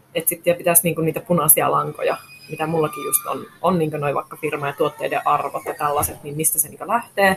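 Noticeable background noise sits under a woman's fairly quick speech. Her loudness swings a lot. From Finnish Lapland, Rovaniemi. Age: 30s. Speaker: fashion shop owner. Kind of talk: interview. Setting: shop in a shopping centre.

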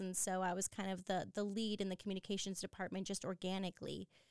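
A woman at medium pitch speaks with monotone, flat intonation in a dry, close sound with no echo. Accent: Californian. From San Diego, California. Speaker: professor of leadership. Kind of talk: interview. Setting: studio.

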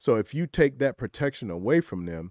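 Recorded very cleanly against a silent background, a man with a Southern US accent sounds dry and close, with no echo. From rural South Carolina. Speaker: entrepreneur, political commentator. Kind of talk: panel discussion.

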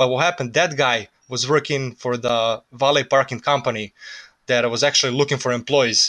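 Bright and sharp in tone, a man's voice sits at a medium pitch with fairly even intonation. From Serbia. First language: Serbian. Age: 20s. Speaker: immigrant worker. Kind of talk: casual interview.

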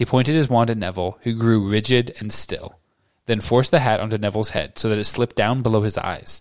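The speaker is reading aloud in a natural voice with fairly even intonation. The background is quiet.

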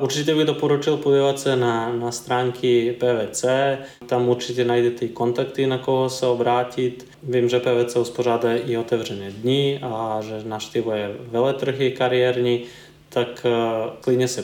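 Over noticeable background noise, a man with a Serbian accent speaks at medium pitch and a fairly slow pace, his intonation monotone and flat. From eastern Serbia. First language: Serbian (speaking Czech). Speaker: environmental consultant. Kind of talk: interview. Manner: halting.

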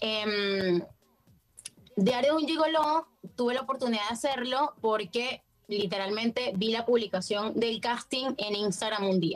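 A woman speaks at a fairly slow pace with a Venezuelan accent, her pitch fairly high and ordinary in its variation. Music plays in the background, and she leaves long, frequent pauses. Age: 20s. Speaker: actress. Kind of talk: casual chat.

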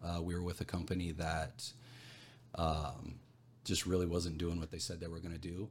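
With a very deep, low pitch, a man speaks in a somewhat breathy voice. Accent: American. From Arizona, small copper mining town. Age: 40s. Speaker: entrepreneur. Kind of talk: casual chat. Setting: rented podcast studio.

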